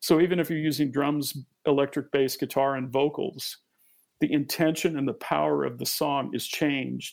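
Speaking in a normal speaking voice, a man with a fairly high pitch keeps a moderate pace and fairly even intonation on a very clean recording with a silent background. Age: 50s. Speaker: musician and producer. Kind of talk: interview.

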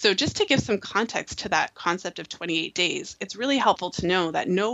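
This woman has a plain, everyday voice, fairly low in pitch. She talks at a fairly quick pace. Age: 30s. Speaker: fertility awareness educator. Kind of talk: interview.

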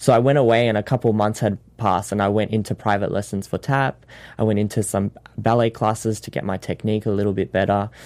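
A man's fairly low, monotone, flat voice at a very fast pace, on a very clean recording with a silent background. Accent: Australian. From Sydney, Australia. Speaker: dancer and actor.

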